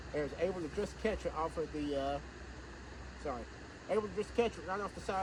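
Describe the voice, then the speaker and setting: A man's very fast speech amid noticeable background noise. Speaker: historian, video host. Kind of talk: outdoor history tour talk. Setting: outdoors in the woods, cemetery. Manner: loud, projecting.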